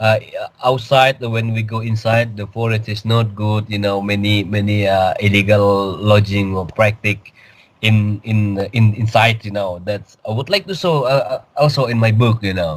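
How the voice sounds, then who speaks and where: In a very clean recording with a silent background, a man with an Indonesian accent speaks at a moderate pace, with fairly low pitch and fairly even intonation. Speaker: cryptid field researcher, author. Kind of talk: interview. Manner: halting.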